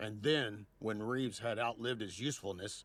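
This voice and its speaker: A man speaks in a put-on character voice at a moderate pace, his pitch sitting in the medium range. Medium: fan dub. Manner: theatrical, accusatory.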